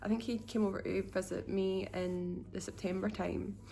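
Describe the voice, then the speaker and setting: Audible room echo surrounds a woman who speaks slowly-ish, at a fairly slow pace, with a Scottish accent. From Scotland. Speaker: vlogger. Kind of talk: casual vlog monologue. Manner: unscripted, hesitant with fillers.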